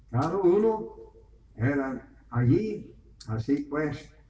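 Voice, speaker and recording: The pitch swings very widely. Noticeable background noise sits behind the speech. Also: man. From Venezuela. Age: 70s. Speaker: preacher. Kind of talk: sermon.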